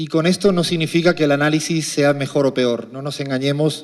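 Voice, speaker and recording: Fairly quick speech comes from a man with a fairly high pitch. His intonation stays fairly even. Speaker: economist. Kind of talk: lecture.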